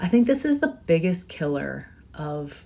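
Somewhat breathy and dark, mellow in tone, a woman's fairly low voice moves at a very slow pace with lively intonation. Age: 40s. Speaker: podcast host. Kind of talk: casual monologue.

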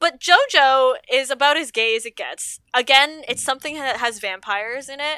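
The voice is raised and projected, with a bright, sharp tone and a Canadian accent. Its pace is moderate. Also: woman, high pitch for a woman, ordinary pitch variation, dry, close sound with no echo. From Toronto, Canada. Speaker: stripper and aerialist, sex worker activist. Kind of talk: casual chat. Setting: video call.

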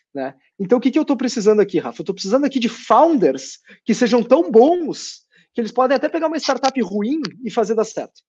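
This man's pitch is extremely high, with lively intonation. He talks at a fairly quick pace. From Porto Alegre, southern Brazil. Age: 20s. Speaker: fintech co-founder. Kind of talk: interview.

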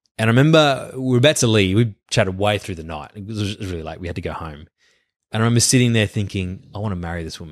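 On a very clean recording with a silent background, someone with an Australian accent speaks at a very fast pace, with lively intonation and big swings in loudness. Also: man, fairly low pitch for a man. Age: 30s. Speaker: pastor. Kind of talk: casual chat.

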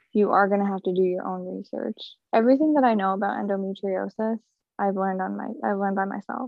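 Very fast speech from a woman with an American accent, medium pitch and ordinary pitch variation. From upstate New York. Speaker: stay-at-home mom sharing endometriosis story. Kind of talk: interview testimony.

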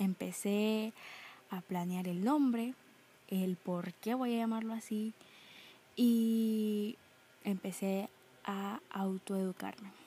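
The voice is somewhat breathy with a dark, mellow tone and fairly even intonation, moving at a very slow pace with long, frequent pauses. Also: woman, medium pitch for a woman. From Nicaragua. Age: young. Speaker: podcaster. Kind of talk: casual monologue.

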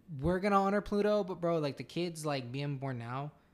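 With ordinary pitch variation, a plain, everyday voice keeps a moderate pace. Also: man. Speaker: podcast co-host. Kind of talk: casual chat.

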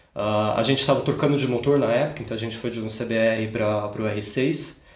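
A man at a moderate pace, with ordinary pitch variation and audible room echo. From Brazil, Campinas (São Paulo state). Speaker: automotive engineer. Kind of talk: casual interview. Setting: in a home.

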